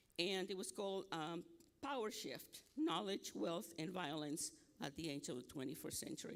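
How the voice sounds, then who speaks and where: A man talks with a Nicaraguan accent. His pitch is high. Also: lively intonation, moderate pace. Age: 70s. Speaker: academic speaker. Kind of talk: conference presentation.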